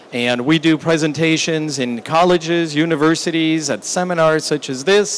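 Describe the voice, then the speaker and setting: There is noticeable background noise as a man speaks with hardly any pauses. His voice is fairly high, with ordinary pitch variation. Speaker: business executive and seminar speaker. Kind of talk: business seminar presentation. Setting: seminar room with small audience and translation equipment. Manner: slow, deliberate.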